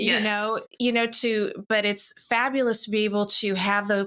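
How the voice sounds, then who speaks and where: Her tone is bright and sharp, as well as warm and enthusiastic. The woman speaks at a fairly slow pace. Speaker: podcast host, broker and business mentor. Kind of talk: podcast host conversation and intro. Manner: warm, enthusiastic.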